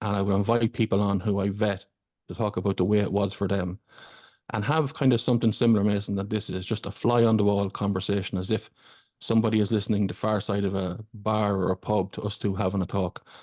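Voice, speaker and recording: In an Irish accent, a man speaks very fast and flat, his fairly low voice dark and mellow against a quiet background. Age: 40s. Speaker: fellow podcaster. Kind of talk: casual chat.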